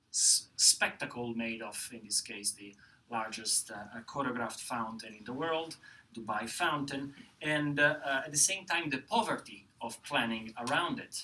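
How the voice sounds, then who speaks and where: A man at a moderate pace with lively intonation and big swings in loudness, over noticeable background noise. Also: medium pitch for a man. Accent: Italian. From Italy. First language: Italian. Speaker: professor. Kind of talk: panel presentation. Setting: lecture hall with audience. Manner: halting, many fillers.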